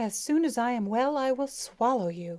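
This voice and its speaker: Using a put-on character voice, a woman hisses at a high pitch. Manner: hissing, menacing.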